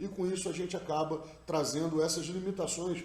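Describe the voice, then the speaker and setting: With a Rio de Janeiro accent, a man speaks at a moderate pace in a high pitch and fairly even intonation, with noticeable background noise and audible room echo. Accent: carioca (Rio de Janeiro). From Rio de Janeiro, Brazil. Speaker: NLP practitioner. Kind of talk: recorded talk / study summary.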